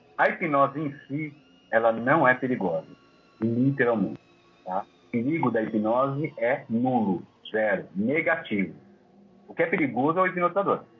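The speech moves at a moderate pace with lively intonation and long, frequent pauses, with music in the background. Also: man, medium pitch for a man. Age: 30s. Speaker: hypnotherapist. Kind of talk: interview.

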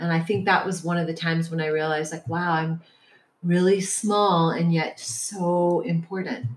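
A woman speaks in a plain, everyday voice at a fairly low pitch. Her pace is moderate. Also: ordinary pitch variation. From US Midwest (Detroit). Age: 50s. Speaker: yoga teacher and healer. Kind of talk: casual interview. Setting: in person.

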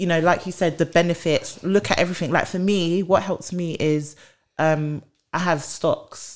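A woman with a British accent and fairly even intonation. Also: fairly low pitch for a woman, moderate pace. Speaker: HR podcast host. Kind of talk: casual chat.

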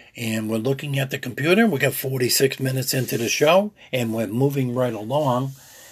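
Somewhat breathy, a man of medium pitch speaks at a moderate pace with ordinary pitch variation and hardly any pauses. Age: old. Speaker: outdoors radio show host. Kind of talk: radio show with live-read ads. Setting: radio studio.

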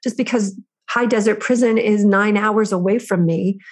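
Her voice is fairly high and somewhat breathy, and the woman keeps a monotone, flat intonation. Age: 50s. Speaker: prison reform activist. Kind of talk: interview.

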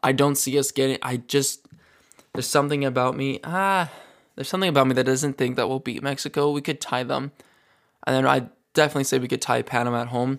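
At a very fast pace, a man speaks with medium pitch and fairly even intonation in a very clean recording with a silent background. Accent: western Canadian. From Calgary, Alberta, Canada. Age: 20s. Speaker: soccer podcast host. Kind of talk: solo podcast commentary. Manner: casual, with frequent restarts and fillers.

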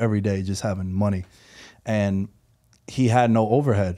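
Speaking with a New York accent, a man uses a dark, mellow tone and fairly low pitch at a moderate pace on a very clean recording with a silent background. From New York City, Queens. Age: 30s. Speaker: professional sports bettor and podcaster. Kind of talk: casual interview. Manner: animated.

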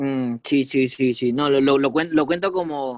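A man speaks in a fairly high pitch. His intonation is fairly even. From Peru. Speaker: football podcast co-host. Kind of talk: casual chat. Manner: halting, many repetitions.

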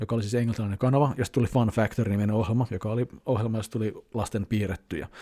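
Talking at a very fast pace, a man has a dark, mellow tone, captured with a dry, close sound with no echo in a very clean recording with a silent background. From Finland, Helsinki. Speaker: YouTuber. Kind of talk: casual vlog monologue. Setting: at home. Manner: loud; hesitant fillers.

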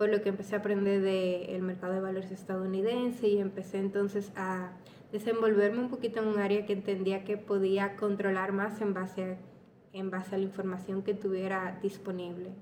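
A woman speaks at a fairly quick pace and a medium pitch over noticeable background noise. Her intonation is monotone and flat. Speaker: podcaster. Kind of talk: personal storytelling monologue. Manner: casual.

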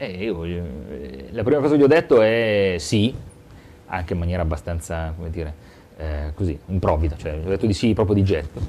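Delivered at a fairly quick pace yet with long, frequent pauses, a man's very deep, low voice carries lively intonation. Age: 40s. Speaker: local politician. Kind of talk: interview.

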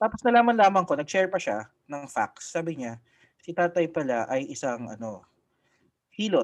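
The recording is very clean, with a silent background. A man speaks at a high pitch with very wide pitch swings. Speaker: podcast co-host and lawyer. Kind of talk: casual chat. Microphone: new mic.

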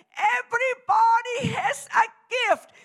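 A woman shouts at an extremely high pitch. Her intonation stays fairly even. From Germany. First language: German. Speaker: preacher. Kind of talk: sermon.

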